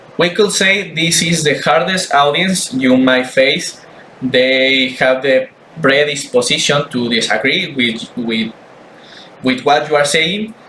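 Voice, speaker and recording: A man talks very slowly in a fairly high pitch as noticeable background noise continues behind him. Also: ordinary pitch variation. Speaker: student. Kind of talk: class presentation. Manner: halting, repeats words.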